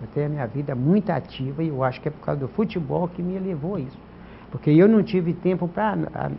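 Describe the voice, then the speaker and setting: This man talks very fast in a fairly high pitch for a man. His pitch varies in an ordinary way. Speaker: former amateur footballer. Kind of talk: interview. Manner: halting.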